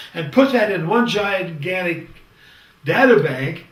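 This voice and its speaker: A man with a high-pitched voice speaks in a raised, projected way. Audible room echo and noticeable background noise come through. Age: 70s. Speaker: leadership lecturer. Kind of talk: lecture. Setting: studio, green screen. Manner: conversational, with hesitations.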